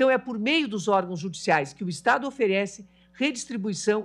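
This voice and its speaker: A woman's pitch swings very widely as she keeps to a moderate pace. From Brazil. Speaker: judge. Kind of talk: formal speech. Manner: formal. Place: hall. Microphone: podium.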